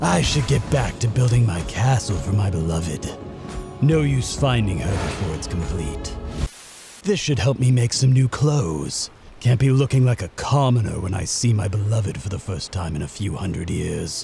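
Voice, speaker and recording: In a put-on character voice, a man talks at a moderate pace and fairly low pitch with clear background noise. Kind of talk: comic overacting. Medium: machinima. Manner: pompous, dryly sarcastic, theatrical.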